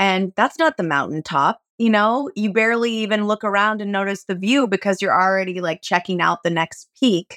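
In a very clean recording with a silent background and a dry, close sound with no echo, a woman of medium pitch speaks in an unremarkable speaking voice at a moderate pace, with ordinary pitch variation and hardly any pauses. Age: 40s. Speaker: actor and organic gardener. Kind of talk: casual chat.

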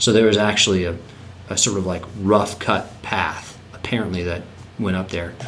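A man's voice at a moderate pace with fairly even intonation, plus audible room echo and noticeable background noise. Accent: American. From North Carolina. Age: 30s. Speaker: land trust executive director. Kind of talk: casual interview.

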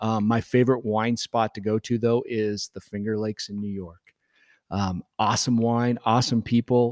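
A man speaks in a Midwestern American accent at medium pitch with monotone, flat intonation. His pace is moderate, and the sound is dry and close with no echo. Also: very clean recording, silent background. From Nebraska. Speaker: winemaker. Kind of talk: casual interview. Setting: winery event room.

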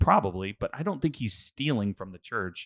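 Recorded very cleanly against a silent background, with a dry, close sound and no echo, a man with an American accent speaks in a normal speaking voice at a fairly low pitch and a moderate pace. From Houston, Texas. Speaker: podcast co-host. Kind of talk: casual chat. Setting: studio.

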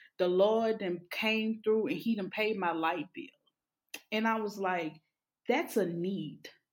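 A woman with a Louisiana accent at a medium pitch and a fairly slow pace, in a very clean recording with a silent background. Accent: Southern US (Louisiana). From Louisiana, Alexandria. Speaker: therapist. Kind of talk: casual interview.

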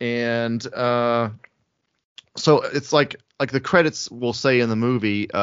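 This is a man with an American accent and a medium pitch. He has an ordinary speaking voice and talks at a fairly slow pace. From US South (Alabama/Georgia). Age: 30s. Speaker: film director. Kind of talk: casual interview. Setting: video call.

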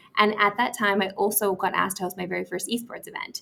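A woman speaks at a fairly quick pace. Her medium-pitched voice has a bright, sharp tone. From Saskatoon, Saskatchewan, Canada. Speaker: sports TV host. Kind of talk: casual interview chat. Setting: hotel suite overlooking a ballpark.

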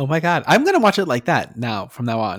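A man talks at a very fast pace with an American accent. The recording is very clean, with a silent background. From rural New Mexico near Texas border. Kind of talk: casual chat.

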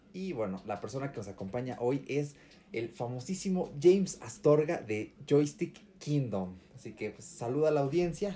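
Dark and mellow in tone and somewhat breathy, a man's voice moves through very wide pitch swings. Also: fairly high pitch for a man, moderate pace. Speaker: podcast co-host. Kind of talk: casual chat. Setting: in the same room, not on Skype.

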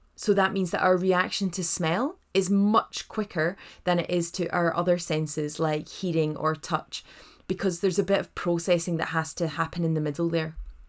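The recording is very clean with a silent background. A woman speaks at a fairly low pitch and moderate pace, her intonation monotone and flat. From Scotland, Edinburgh. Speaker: doula and hypnobirthing teacher. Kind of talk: podcast monologue, informal tutorial. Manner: warm, chatty.

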